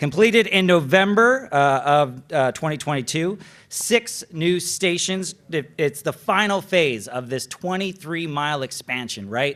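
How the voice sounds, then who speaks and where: Using hardly any pauses, a man talks at a fairly slow pace in a fairly high voice with lively intonation. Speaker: TV transportation reporter, awards presenter. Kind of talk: awards ceremony presenting. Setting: gala stage with audience. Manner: loud, projecting; casual, conversational.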